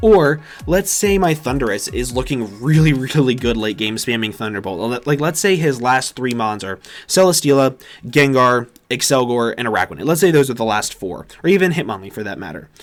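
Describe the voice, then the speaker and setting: A man's medium-pitched voice at a fairly quick pace, with very wide pitch swings. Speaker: Pokemon competitive player and YouTuber. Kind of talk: game strategy commentary. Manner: fast.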